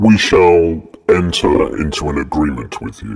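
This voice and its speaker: Putting on a character voice, a man talks at a moderate pace in a very deep, low pitch. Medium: read story.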